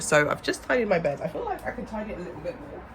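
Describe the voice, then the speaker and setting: The pace is fairly quick. A woman is talking with a British accent. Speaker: vlogger and property entrepreneur. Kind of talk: vlog. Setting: outdoors at beach club.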